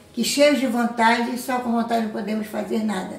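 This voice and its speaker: A woman speaks with a fairly high pitch. Audible room echo and noticeable background noise are present. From Belém, Pará, northern Brazil. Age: 70s. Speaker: community resident. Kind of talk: documentary interview.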